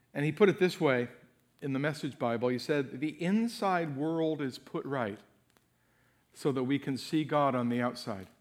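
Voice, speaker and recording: A plain, everyday voice from a man, fairly high in pitch, with lively intonation at a moderate pace, on a very clean recording with a silent background. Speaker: guest preacher. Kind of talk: fervent prayer; sermon. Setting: church theater with congregation. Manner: earnest, heartfelt, pleading.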